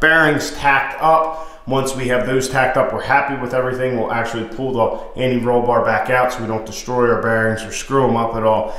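A man talks at a fairly quick pace with hardly any pauses. Audible room echo surrounds his voice. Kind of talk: casual vlog chat. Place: garage. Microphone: phone near.

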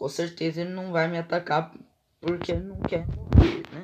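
Here a man speaks in an animated tone at a high pitch. His pace is moderate. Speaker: gaming youtuber. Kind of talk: gameplay commentary. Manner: casual, animated.

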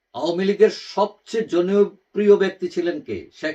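A man's voice, high in pitch. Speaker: political commentator YouTuber. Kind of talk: opinion monologue. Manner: halting, many pauses.

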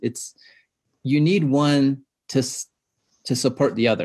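The speaker has an American accent and is heard against a quiet background. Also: man. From US Southwest, Navajo and Hopi. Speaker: filmmaker and doctoral student. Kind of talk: panel discussion. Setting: video call. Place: home room. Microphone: video call.

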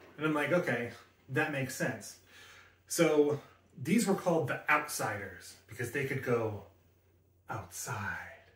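A man talks at a fairly slow pace and a fairly high pitch, using lively intonation and long, frequent pauses, with audible room echo. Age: 40s. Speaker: tech YouTuber. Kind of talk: product review; casual vlog chat. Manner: casual, halting with fillers. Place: home room.

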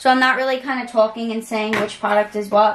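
Speaking at a moderate pace amid audible room echo, a woman uses a fairly high voice with fairly even intonation.

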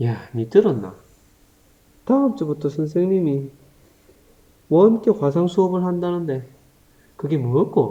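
A man with a Gyeongsang accent speaks in a high, dark, mellow voice with very wide pitch swings. He goes at a very slow pace with long, frequent pauses. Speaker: teacher. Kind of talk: humorous tutorial skit in dialogue form. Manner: casual, playful.

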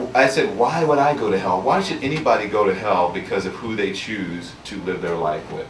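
A man talks at an even, middling speed against clearly audible background noise. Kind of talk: talk to an audience. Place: shop.

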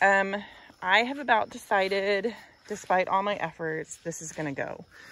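A woman speaks in a dry sound with no echo. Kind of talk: casual vlog chat. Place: garden. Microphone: phone near.

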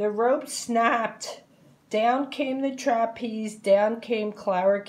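Someone reads aloud in a natural voice.

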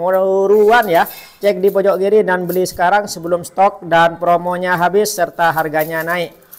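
A man speaks in a high pitch with a monotone, flat intonation. Noticeable background noise runs underneath. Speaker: online product seller. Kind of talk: hard-sell pitch for household goods, urging viewers to tap the bottom-left corner. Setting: video promo for online shop. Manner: urgent, repetitive, hype-driven with exclamatory phrases; fast, punchy, with repeated calls to buy now.

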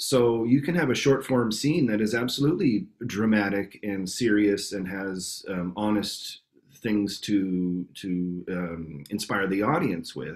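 With a Canadian accent, a man talks at a fairly low pitch with lively intonation over a quiet background. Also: fairly slow pace. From Canada, Winnipeg. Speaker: improv actor and teacher. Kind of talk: interview answer.

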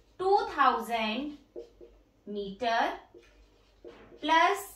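Audible room echo surrounds a woman's high voice, which moves in very wide pitch swings. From India. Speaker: teacher and educational YouTuber; teacher, educational YouTuber. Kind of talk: demo teaching tutorial. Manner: teacherly, explanatory.

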